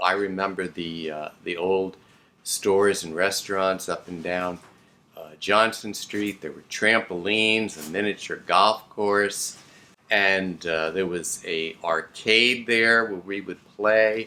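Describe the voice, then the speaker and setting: A man with an American accent speaks at a very slow pace in a fairly low pitch, his bright, sharp tone moving along fairly even intonation while his loudness swings widely. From South Florida (Hollywood). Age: 60s. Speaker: historical society member. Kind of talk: reminiscence. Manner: halting.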